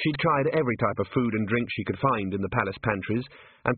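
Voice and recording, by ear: The intonation here is lively. It is read aloud in a natural voice.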